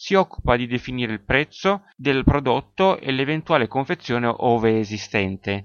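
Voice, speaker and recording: A man with an unremarkable speaking voice and a medium pitch talks at a moderate pace, barely pausing. His intonation is lively. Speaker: sports marketing podcaster. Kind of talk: solo educational podcast.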